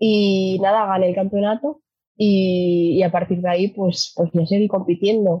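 Somewhat breathy, a woman speaks at a medium pitch and a fairly slow pace, with very even loudness and fairly even intonation. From Asturias, Spain. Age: 20s. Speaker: sustainable mobility company employee, former kart racer. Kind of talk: casual interview.

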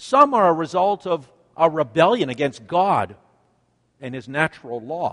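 A man with a Canadian accent, very wide pitch swings and a moderate pace, in a dry, close sound with no echo. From Canada. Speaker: pastor. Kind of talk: sermon.

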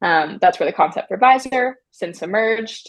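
A woman with an American accent and an unremarkable speaking voice talks at medium pitch and a moderate pace, her intonation lively. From US, Maryland. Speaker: app founder and CEO. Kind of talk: interview.

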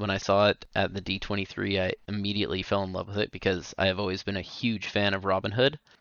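A man with an ordinary speaking voice, fairly low in pitch, speaks at a moderate pace. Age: 30s. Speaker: podcast co-host. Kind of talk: casual chat.

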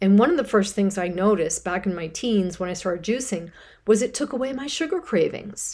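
A woman speaks in a plain, everyday voice, fairly high in pitch. She talks at a fairly quick pace with lively intonation. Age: 50s. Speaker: radio host and health coach. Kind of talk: solo radio talk.

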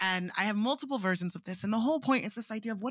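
Somewhat breathy, a woman speaks very fast with lively intonation and a fairly high pitch. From Nigeria. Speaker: artist and creative technologist. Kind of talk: interview conversation.

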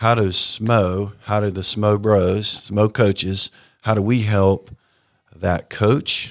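A man with an American accent speaks very slowly, his pitch fairly low. The recording is very clean, with a silent background. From US South, Raleigh, North Carolina. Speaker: sports ministry leader. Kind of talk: radio interview.

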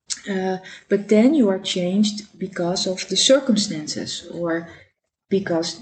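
Somewhat breathy, a woman at medium pitch speaks at a fairly slow pace with lively intonation. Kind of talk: devotional talk. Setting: home dining table recording. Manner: halting, with many fillers.

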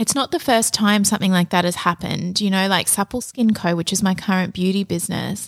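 Soft-spoken and with an Australian accent, a woman is heard in a very clean, dry, close recording with a silent background and no echo. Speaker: podcast host and business coach. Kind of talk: casual solo podcast monologue.

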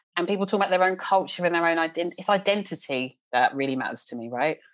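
A woman speaks very fast with a South London accent and lively intonation. Her pitch is fairly low. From South London, England. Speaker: leadership coach. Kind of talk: casual chat.

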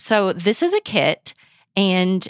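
The voice carries a Midwestern US accent in a dry, close sound with no echo. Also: woman. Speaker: podcast host. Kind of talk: casual conversation. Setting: home spare bedroom, remote recording.

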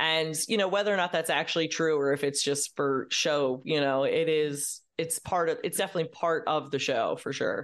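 Over a quiet background, a woman with an American accent speaks at a moderate pace in a very deep, low pitch, with ordinary pitch variation, very even loudness and hardly any pauses. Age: 30s. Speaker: comedian. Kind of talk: casual chat.

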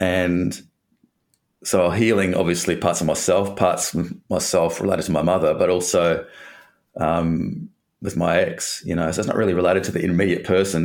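With an Australian accent, a man speaks at a moderate pace in a very deep, low pitch and with fairly even intonation. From Western Australia (Perth). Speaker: breakup recovery coach. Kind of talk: interview conversation.

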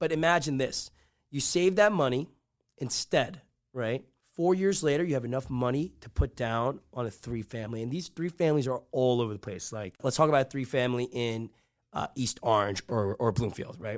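Animated in tone with lively intonation, a man speaks at a moderate pace and medium pitch in a very clean recording with a silent background. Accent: American. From northern New Jersey. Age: 20s. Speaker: real estate investor and podcast host. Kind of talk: casual chat.

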